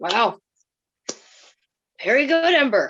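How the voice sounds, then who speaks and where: A woman puts on a raspy character voice with a high pitch. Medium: stage play. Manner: stern, dry.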